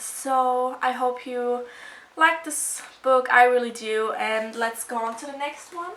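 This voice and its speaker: With a German accent and audible room echo, a woman speaks very slowly in a high voice, with ordinary pitch variation and big swings in loudness. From Germany. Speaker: video blogger. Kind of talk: casual show-and-tell video. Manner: casual, hesitant with fillers.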